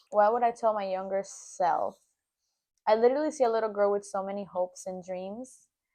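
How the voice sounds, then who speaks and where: A woman speaks at a medium pitch with a dark, mellow tone and a Spanish accent. Her pace is fairly quick, her pitch varies in an ordinary way, and the background is quiet. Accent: Spanish accent, noticeable. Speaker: podcast co-host, aspiring actress. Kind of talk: casual chat.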